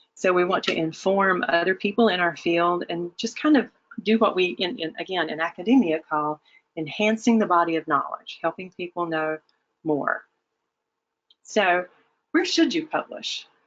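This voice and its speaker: With a fairly low pitch and ordinary pitch variation, a woman talks at a moderate pace. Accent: Southern US. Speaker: webinar presenter, academic. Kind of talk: webinar presentation. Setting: online webinar. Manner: hesitant with many fillers.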